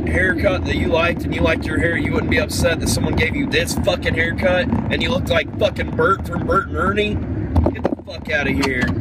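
Loud background noise runs through the clip. Over it, a man speaks at a fairly quick pace. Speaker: comedy vlogger. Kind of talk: angry ranting vlog. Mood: angry, upset rant. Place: car. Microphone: phone near.

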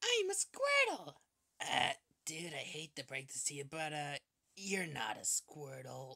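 A put-on character voice sits at a middle pitch. It sounds raspy and moves at a fairly slow pace. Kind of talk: comedic comic dub of several characters. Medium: dub.

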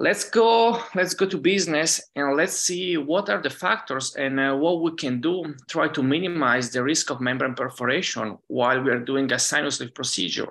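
Over a quiet background, a man with an Italian accent talks at a moderate pace. His pitch is fairly high and his intonation lively. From Italy, Lake Garda area; Italy. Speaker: dentist and professor; professor. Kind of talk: conference lecture. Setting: virtual conference. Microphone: webcam.

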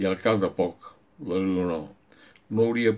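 Fairly slow, fairly evenly intoned speech from a man with a very deep, low pitch. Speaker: book club member. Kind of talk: poem reading aloud. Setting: home, recorded during lockdown. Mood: calm, gentle. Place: home room. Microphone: webcam.

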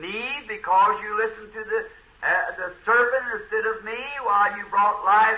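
With fairly even intonation, a man speaks at a high pitch and a moderate pace. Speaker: preacher. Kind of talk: sermon. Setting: church recording.

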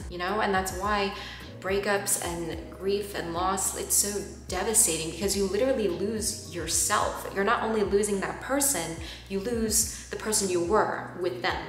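Faint music plays in the background, and room echo is audible. The speech comes at a moderate pace with ordinary pitch variation. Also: woman. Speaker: vlogger. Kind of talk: casual vlog chat. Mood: reflective, personal, earnest.

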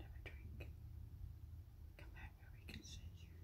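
Speech at a moderate pace beneath loud background noise. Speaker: home bird watcher. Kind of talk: casual talk to camera. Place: kitchen. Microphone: phone near.

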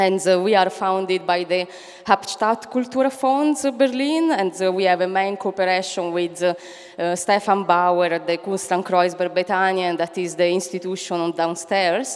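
A woman speaks at a moderate pace with ordinary pitch variation. The background is quiet. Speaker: event moderator. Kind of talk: event introduction. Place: hall. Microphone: handheld.

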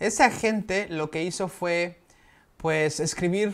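A man with a Mexican accent. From Mexico. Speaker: vlogger living abroad. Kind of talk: casual vlog explainer. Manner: conversational, with frequent fillers. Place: home room.

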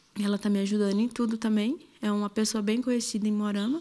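The woman talks at a very fast pace. Her voice is fairly high, with a dark, mellow tone. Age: 20s. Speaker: assault victim. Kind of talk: testimony. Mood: fearful, distressed. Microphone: handheld.

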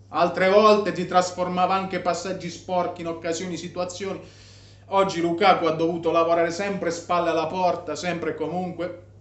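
In a room with audible echo, a man with a high pitch talks at a fairly quick pace in an animated tone. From Italy. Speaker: football vlogger. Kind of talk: angry rant about a match, fired-up fan commentary. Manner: animated, emphatic. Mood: disappointed, frustrated. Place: home room. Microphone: phone near.

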